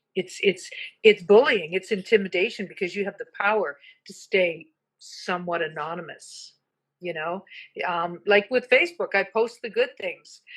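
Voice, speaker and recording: A plain, everyday voice from a woman, medium in pitch with ordinary variation, at a moderate pace with big swings in loudness. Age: 60s. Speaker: bullying prevention advocate. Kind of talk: casual chat. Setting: live stream.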